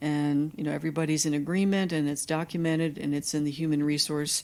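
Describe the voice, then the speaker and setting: On a very clean recording with a silent background, a woman with an American accent speaks at a very deep, low pitch with fairly even intonation. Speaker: dietitian and professor. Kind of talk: lecture. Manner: fast.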